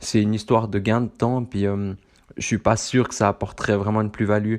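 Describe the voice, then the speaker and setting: Against a quiet background, a voice speaks with a Swiss accent. The intonation stays monotone and flat. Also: man. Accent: Swiss French, moderate. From central Switzerland. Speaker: running podcast host. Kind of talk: solo podcast monologue. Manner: halting, many fillers.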